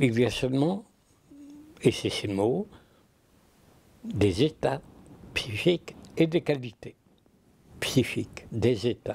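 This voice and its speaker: The voice is somewhat breathy and very slow, with long, frequent pauses. Its pitch swings very widely. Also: man, medium pitch for a man. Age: 80s+. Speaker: philosopher. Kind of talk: interview answer. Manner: passionate.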